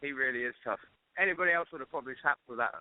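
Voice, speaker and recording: This voice carries an English accent. Its pitch rises and falls in an ordinary way. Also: man. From England. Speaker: MMA fighter. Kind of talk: interview. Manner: hesitant.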